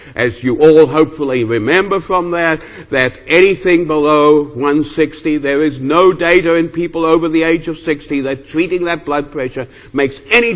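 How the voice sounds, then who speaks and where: A man with a fairly high pitch talks at a moderate pace with ordinary pitch variation against a quiet background. It is an unremarkable speaking voice. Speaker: geriatrics professor. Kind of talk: lecture. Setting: stage with audience. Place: hall.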